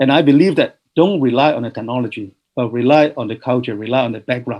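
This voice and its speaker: Here a man speaks at a very fast pace. His pitch sits in the medium range. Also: ordinary pitch variation. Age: 60s. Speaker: professor. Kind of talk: webinar Q&A answers. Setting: online webinar. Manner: halting, many fillers.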